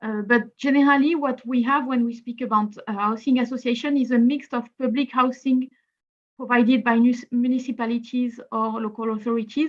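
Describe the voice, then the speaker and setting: In a French accent, a woman speaks at a fairly quick pace with a high pitch and monotone, flat intonation. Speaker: housing policy speaker. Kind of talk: webinar presentation.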